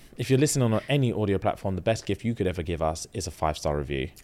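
A man with a London accent, a dark, mellow tone and very wide pitch swings, in a very clean recording with a silent background. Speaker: podcast host. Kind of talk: casual chat. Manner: animated.

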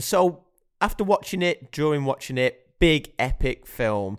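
In a dry, close recording with no echo, a man with an unremarkable speaking voice talks at a fairly high pitch and a fairly slow pace, his intonation lively. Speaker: podcast host, film reviewer. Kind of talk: casual chat.

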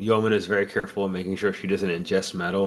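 In an ordinary speaking voice, a man with a fairly low pitch talks with fairly even intonation. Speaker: podcast host. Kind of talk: casual chat.

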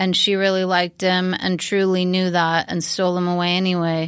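With a plain, everyday voice, a woman of medium pitch talks at a moderate pace in a very clean recording with a silent background. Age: 50s. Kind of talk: casual chat. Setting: studio.

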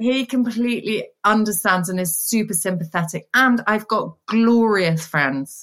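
In a plain, everyday voice, a woman talks at a fairly slow pace with hardly any pauses. Her pitch is fairly high and her intonation is lively. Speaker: small business owner. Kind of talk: casual chat. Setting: video call.

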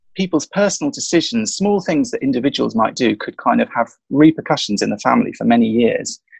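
This man speaks in a southern English accent. His pace is fairly quick. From London. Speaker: author and historian. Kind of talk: interview. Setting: bedroom at home, remote call.

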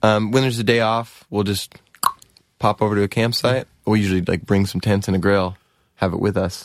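In an American accent, a man speaks with a plain, everyday voice at a fairly low pitch. His pace is fairly quick and his intonation fairly even. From US West Coast (Oregon, Southern California). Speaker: musician, band frontman. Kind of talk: interview.

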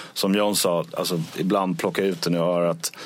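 Keeping a fairly slow pace, a man talks in fairly even intonation. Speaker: touring band musician. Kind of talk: casual interview. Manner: halting, repeats words.

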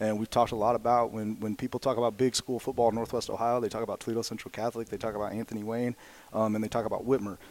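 A man's medium-pitched voice, very fast and flatly monotone. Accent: American. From southwestern Indiana, near Evansville. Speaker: high school football coach and math teacher. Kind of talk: casual interview.

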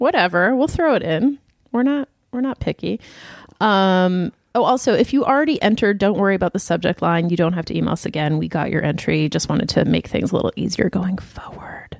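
Here is a plain, everyday voice from a woman at a medium pitch. She talks at a fairly quick pace, and the sound is dry and close with no echo. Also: lively intonation. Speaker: podcast co-host. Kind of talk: casual chat.

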